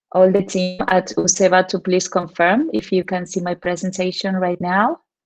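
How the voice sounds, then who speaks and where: A woman speaks with a Spanish accent. Her intonation stays fairly even. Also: medium pitch for a woman, moderate pace. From Argentina. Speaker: teacher trainer. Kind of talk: conference presentation.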